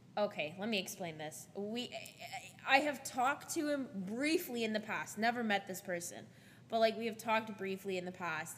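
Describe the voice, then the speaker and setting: With lively intonation and a moderate pace, a woman speaks in a plain, everyday voice. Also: fairly high pitch for a woman. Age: 20s. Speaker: podcast host. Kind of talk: casual chat.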